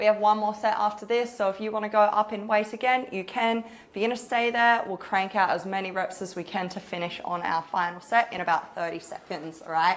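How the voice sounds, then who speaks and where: At a medium pitch and fairly quick pace, a woman with an Australian accent speaks with ordinary pitch variation. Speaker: personal trainer. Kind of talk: guided workout coaching. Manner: fast.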